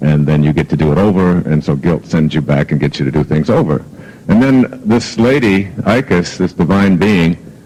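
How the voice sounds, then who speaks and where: A moderate pace of talk with noticeable background noise behind it. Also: man. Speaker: self-help author and motivational speaker. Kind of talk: motivational talk. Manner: conversational, hesitant with fillers; gentle but firm, humorous.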